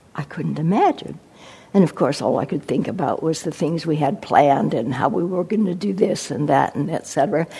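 Woman's dark, mellow voice at a fairly low pitch, with vocal fry and ordinary pitch variation. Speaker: meditation teacher giving a dharma talk. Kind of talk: dharma talk with poetry reading. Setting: meditation center with audience. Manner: slow, contemplative, reflective.

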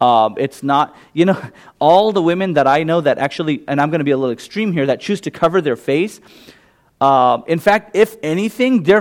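A man with a Gujarati accent talks at a moderate pace. His fairly high pitch moves in very wide swings. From US West Coast (California), born in England to Indian parents. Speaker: imam. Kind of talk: public talk followed by audience Q&A. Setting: meditation center, audience present, microphone. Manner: casual, conversational.

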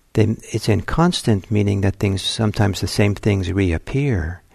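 A calm, dark, mellow voice, somewhat breathy, with lively intonation. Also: man. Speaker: meditation teacher. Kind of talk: guided meditation. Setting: meditation center, recorded talk. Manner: slow, calm, soft-spoken, with long pauses.

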